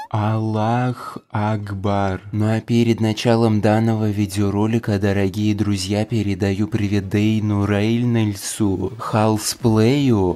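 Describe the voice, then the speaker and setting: A man's fairly low, dark and mellow voice in a flat monotone at a very slow pace. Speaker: gaming youtuber. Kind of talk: casual vlog chat and game commentary. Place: home room. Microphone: lapel.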